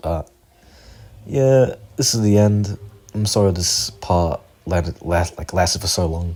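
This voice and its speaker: Speaking at a fairly slow pace with long, frequent pauses, a man uses a very deep, low voice. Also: ordinary pitch variation. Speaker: amateur video creator who draws. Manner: stutters, hesitant.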